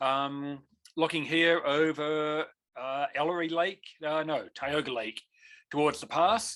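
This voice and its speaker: A bright, sharp voice at a fairly slow pace, fairly even in intonation, with long, frequent pauses against a quiet background. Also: man, fairly high pitch for a man. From New Zealand. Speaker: avalanche course instructor and mountain guide. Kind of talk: online lecture. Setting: video call.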